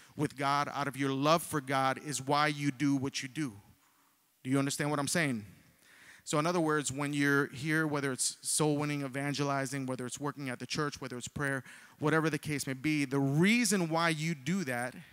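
A man at a moderate pace, with fairly even intonation and a quiet background. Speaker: preacher. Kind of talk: sermon. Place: church. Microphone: handheld.

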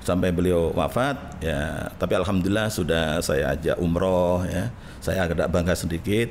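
The speaker keeps a moderate pace with hardly any pauses and very even loudness. Pitch variation is ordinary, with light background noise. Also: man, very deep, low pitch for a man. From East Java, Indonesia (Gresik); East Java, Indonesia. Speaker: Islamic cleric; guest. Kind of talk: interview. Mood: reflective, personal storytelling. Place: studio. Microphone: studio mic.

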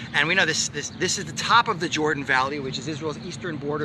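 A man speaks with a fairly high pitch. Noticeable noise sits in the background. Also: dry sound with no echo. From Canada. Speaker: rabbi and history educator; rabbi, history educator. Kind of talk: casual walk-and-talk explanation. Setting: outdoors by a lake. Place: waterside. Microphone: phone near.

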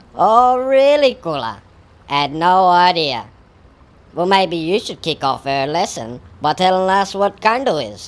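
A cartoonish character voice sits at a middle pitch. It moves at a fairly slow pace. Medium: puppet show. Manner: patient, teasing teacher.

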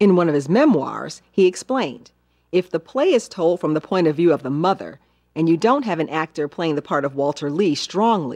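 A woman talks at a moderate pace in a fairly low voice with a warm tone. Behind her, the background stays quiet. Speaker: TV film host. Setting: television broadcast. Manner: formal; measured, articulate, warm and even-paced. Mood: warm, measured. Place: studio. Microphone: lapel.

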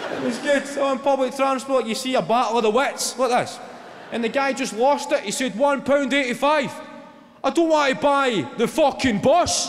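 With a Glaswegian accent, a man speaks at a moderate pace in an extremely high pitch, his intonation fairly even. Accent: Glaswegian Scottish. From Glasgow, Scotland. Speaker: stand-up comedian. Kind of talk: live stand-up comedy set. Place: stage. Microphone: handheld.

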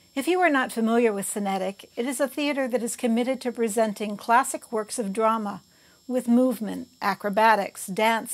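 Speaking at a moderate pace, a woman has an ordinary speaking voice with a fairly high pitch and ordinary pitch variation. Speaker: theater reviewer. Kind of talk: scripted narration.

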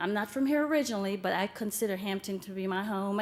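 This woman talks at a medium pitch and a very fast pace. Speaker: parent speaking at public comment. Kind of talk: public comment at school board meeting.

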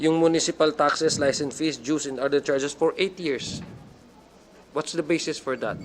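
Here is a man with a fairly high pitch and a plain, everyday voice. He talks at a moderate pace with fairly even intonation. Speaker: congressional committee member. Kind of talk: legislative hearing questioning. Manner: formal.

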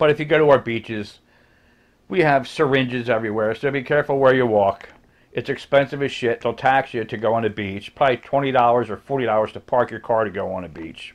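A man with an American accent speaks at a fairly quick pace, his medium-pitched voice showing ordinary pitch variation. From New Jersey, US. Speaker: YouTuber; vlogger. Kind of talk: casual rant vlog. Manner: animated. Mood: sarcastic, complaining. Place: home room. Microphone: webcam.

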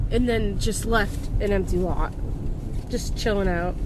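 Noticeable background noise surrounds a woman who speaks fairly slowly with ordinary pitch variation in a dry sound with no echo. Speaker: vlogger filming from passenger seat. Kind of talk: casual vlog chat. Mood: annoyed, ranting about town. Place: car.

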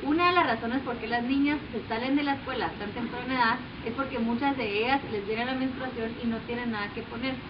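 Speaking at a fairly quick pace with hardly any pauses, a woman uses a high pitch and fairly even intonation over noticeable background noise. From Guatemala. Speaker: social entrepreneur. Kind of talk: application video pitch. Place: garden. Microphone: camera far.

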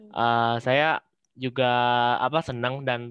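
A man speaks with monotone, flat intonation. The sound is dry, with no echo. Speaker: webinar participant, recent graduate. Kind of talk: self-introduction. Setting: video call. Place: home room. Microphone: video call.

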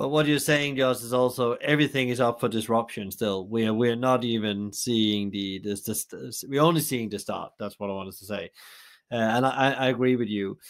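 In a very clean recording with a silent background, a man talks in an ordinary speaking voice at medium pitch with ordinary pitch variation. His pace is fairly quick, and his loudness swings widely. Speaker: podcast host. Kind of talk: interview.

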